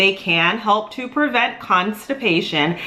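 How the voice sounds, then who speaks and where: A woman's intonation is lively, and noticeable background noise can be heard behind her. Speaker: dietitian. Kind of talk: educational talk to camera. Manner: fast.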